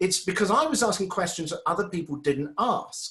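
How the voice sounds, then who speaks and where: In a British accent, a high-pitched man talks at a fairly quick pace. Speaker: webinar presenter and former radio presenter. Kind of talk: webinar presentation.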